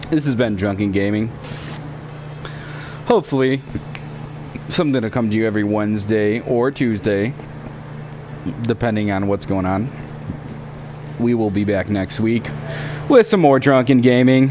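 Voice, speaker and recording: A man speaks loudly at a moderate pace in a medium-pitched voice with ordinary pitch variation and long, frequent pauses. Noticeable background noise runs underneath. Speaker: gaming streamer. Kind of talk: casual chat.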